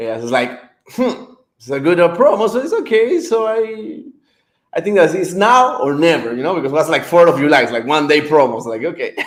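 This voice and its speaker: A high-pitched man with a non-native accent, fairly quick, with very wide pitch swings and big swings in loudness. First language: not English. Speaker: author. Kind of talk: interview. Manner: halting, many fillers.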